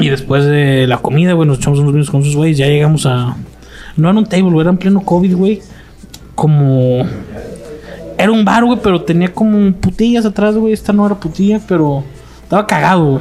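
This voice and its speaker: A man with a high pitch and lively intonation speaks at a fairly quick pace, breaking often into long pauses, his loudness very even over noticeable background noise. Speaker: podcast host. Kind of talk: casual chat. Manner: announcer-like delivery.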